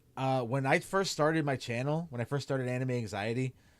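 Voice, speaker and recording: This man speaks with a Chicago accent. His pitch sits in the medium range. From Chicago area, US. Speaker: streamer and anime content creator. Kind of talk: casual livestream Q&A. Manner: casual with many fillers.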